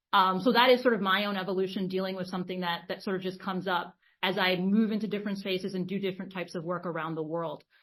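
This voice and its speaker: A woman at a medium pitch rushes along at a very fast pace with hardly any pauses, her intonation monotone and flat. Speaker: leadership coach. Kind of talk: webinar conversation.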